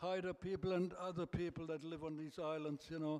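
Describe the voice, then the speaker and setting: A man speaks in a German accent at a high pitch and moderate pace, his intonation monotone and flat. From Germany. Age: 80s+. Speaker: birthday celebrant. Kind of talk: speech to guests. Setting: birthday party with audience.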